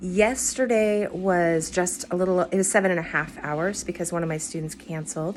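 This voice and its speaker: A woman talks at a moderate pace with hardly any pauses. She has an ordinary speaking voice, fairly low in pitch, with ordinary pitch variation. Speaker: vocal coach. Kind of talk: casual vlog talk to camera.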